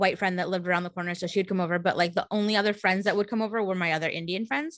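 A woman with an American accent speaks in a very clean recording against a silent background. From California, San Jose. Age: 30s. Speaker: podcast regular guest. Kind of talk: casual chat.

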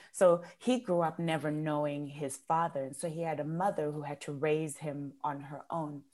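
In a Zimbabwean accent, the speaker goes at a moderate pace with fairly even intonation and hardly any pauses, on a very clean recording with a silent background. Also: woman, very deep, low pitch for a woman. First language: Shona. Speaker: entrepreneur and coach. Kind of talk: interview conversation. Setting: podcast.

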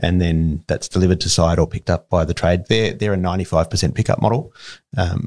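A man with a very deep, low pitch speaks with ordinary pitch variation in a dry, close sound with no echo. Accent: Australian. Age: 40s. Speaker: building materials company executive. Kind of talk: interview.

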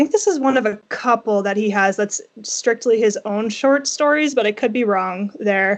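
At a moderate pace and with ordinary pitch variation, a woman speaks in a fairly high pitch against a quiet background. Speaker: book blogger. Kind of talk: casual chat. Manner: halting.

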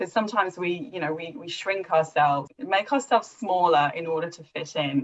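A woman with a normal speaking voice talks at a fairly quick pace and a fairly low pitch, with hardly any pauses. Her intonation is lively and her loudness swings widely. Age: 30s. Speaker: critical thinking facilitator and coach. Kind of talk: interview. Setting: call.

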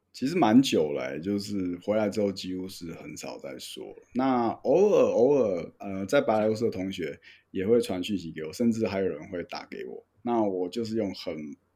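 A man's fairly low, dark and mellow voice at a moderate pace, with lively intonation and big swings in loudness. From Taiwan. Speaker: flight instructor. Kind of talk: casual chat.

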